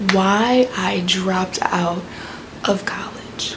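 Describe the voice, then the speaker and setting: A woman speaks quietly with ordinary pitch variation. Audible room echo and noticeable background noise surround her voice. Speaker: vlogger. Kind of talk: story time vlog.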